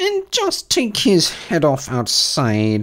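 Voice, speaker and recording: A put-on character voice delivered at a very slow pace. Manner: shrieking, bloodthirsty.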